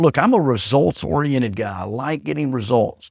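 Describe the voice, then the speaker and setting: Recorded very cleanly against a silent background, a loud man with an American accent speaks at a moderate pace, his medium pitch swinging very widely. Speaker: leadership coach and podcast host. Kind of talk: motivational talk. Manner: assertive.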